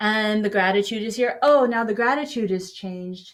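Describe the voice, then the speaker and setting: With an unremarkable speaking voice, a woman talks at a fairly slow pace, her fairly high pitch showing ordinary pitch variation. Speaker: meditation guide. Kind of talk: guided meditation. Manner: casual, conversational, with frequent filler pauses.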